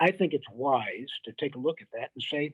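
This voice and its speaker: Someone with an American accent speaks at a moderate pace in an ordinary speaking voice with ordinary pitch variation. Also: man. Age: 60s. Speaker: former military officer and security adviser. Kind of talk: podcast interview.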